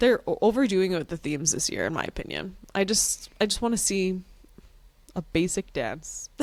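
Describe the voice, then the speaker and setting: Speaking at a moderate pace, a woman talks with a strong Canadian accent. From Canada. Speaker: reality TV podcast co-host. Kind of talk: casual chat.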